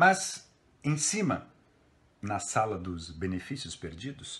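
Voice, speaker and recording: A man's theatrical voice, fairly low in pitch, at a fairly slow pace. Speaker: theatre professor reading a poem. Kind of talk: poetry reading aloud, a literary text delivered with dramatic interpretation. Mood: expressive, theatrical recitation. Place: home room. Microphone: phone near.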